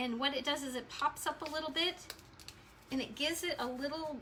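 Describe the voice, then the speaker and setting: A woman speaks at a high pitch. Noticeable background noise runs behind her. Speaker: crafts tutorial host. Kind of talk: tutorial. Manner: animated.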